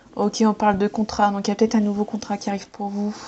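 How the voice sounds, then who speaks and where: A woman's voice with noticeable background noise. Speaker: tarot card reader. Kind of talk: tarot reading. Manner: fast; hesitant.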